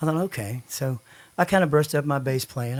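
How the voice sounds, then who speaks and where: Very clean recording with a silent background, where a man with a Texan accent talks at a very fast pace with lively intonation. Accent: Texan Southern US. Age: 60s. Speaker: songwriter. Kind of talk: casual chat.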